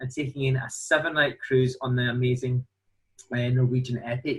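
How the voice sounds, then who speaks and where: A man with a Glasgow accent, fairly high in pitch, at a moderate pace. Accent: Glasgow Scottish. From Scotland, Glasgow. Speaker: cruise line sales representative. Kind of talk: sales presentation.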